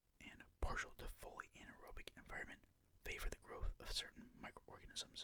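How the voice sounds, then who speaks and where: Whispering comes at a moderate pace. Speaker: ASMR channel host reading a textbook aloud. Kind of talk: soft-spoken educational ASMR reading. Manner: soft-spoken.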